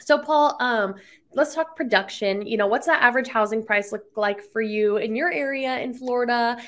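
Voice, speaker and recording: A woman talks at a moderate pace with a fairly high pitch in an ordinary speaking voice. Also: very clean recording, silent background. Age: 20s. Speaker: podcast host. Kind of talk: interview.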